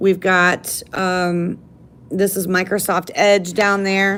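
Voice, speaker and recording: A woman speaks loudly at a very slow pace, with a medium pitch and a bright, sharp tone. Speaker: library tech help presenter. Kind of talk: live tech tutorial. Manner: casual, many fillers.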